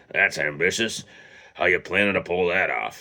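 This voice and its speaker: Raspy, gravelly and wheezy, a man's put-on character voice sits at a very deep, low pitch with ordinary pitch variation and a moderate pace. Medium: read story.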